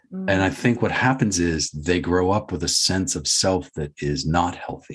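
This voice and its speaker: A man talks at a fairly slow pace in a very deep, low voice. His intonation is lively. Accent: American. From Boston, USA. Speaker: podcast guest. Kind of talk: interview answer. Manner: reflective, conversational.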